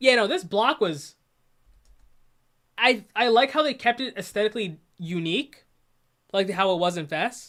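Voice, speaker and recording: Her intonation lively and her pitch fairly high, a woman talks at a moderate pace with long, frequent pauses. The recording is very clean, the background silent. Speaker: YouTuber commenting on own video. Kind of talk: casual stream commentary. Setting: livestream.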